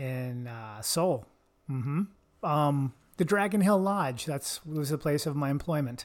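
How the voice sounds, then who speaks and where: A plain, everyday voice from a man, fairly slow and fairly high-pitched, with ordinary pitch variation. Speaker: podcast host. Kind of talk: casual comedic banter podcast. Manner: joking, playful.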